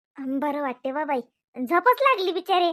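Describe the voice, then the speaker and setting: Projecting loudly, a woman puts on a squeaky, high-pitched character voice with lively intonation at a fairly slow pace. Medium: comedy sketch. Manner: meek, apologetic.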